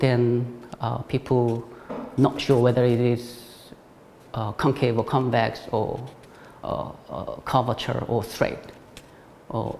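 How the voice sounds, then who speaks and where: With a Korean accent, a man talks at a very slow pace and medium pitch, his flat, monotone delivery broken by long, frequent pauses over noticeable background noise. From South Korea. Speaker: ceramic artist. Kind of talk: artist talk. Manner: halting, many fillers.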